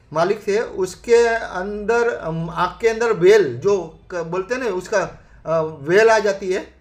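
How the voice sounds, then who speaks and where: With noticeable background noise, a man talks in a high-pitched voice with hardly any pauses. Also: ordinary pitch variation. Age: 60s. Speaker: network marketing member. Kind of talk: testimony. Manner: halting.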